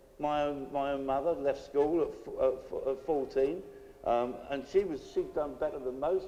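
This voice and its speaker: This man has a British accent. He talks at a moderate speed. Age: 60s. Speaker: political activist. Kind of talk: public speech. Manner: hesitant, with repeated restarts.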